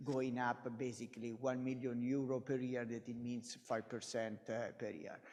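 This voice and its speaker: A man's dark, mellow voice at a moderate pace. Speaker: business unit executive. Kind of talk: investor presentation. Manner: halting.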